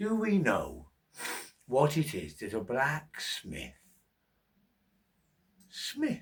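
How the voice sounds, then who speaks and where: Using a put-on character voice, a man with a fairly high pitch speaks at a very slow pace with long, frequent pauses. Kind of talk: bedtime story. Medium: read story. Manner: rhythmic, wry, repetitive cadence.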